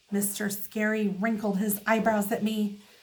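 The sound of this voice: Amid audible room echo, a woman talks fairly slowly at a medium pitch with little pitch movement.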